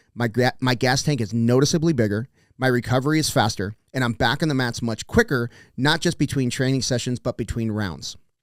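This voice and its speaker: A man with an American accent talks at a fairly quick pace in an ordinary speaking voice, medium in pitch with ordinary pitch variation. The recording is very clean with a silent background, and the sound is dry and close with no echo. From South Texas. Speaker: podcast host. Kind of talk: sponsor read.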